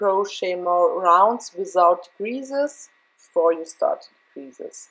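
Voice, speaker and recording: A woman with a German accent, at a very slow pace. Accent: German accent, non-native English. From Germany. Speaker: crochet tutorial maker. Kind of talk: tutorial. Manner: halting, with fillers.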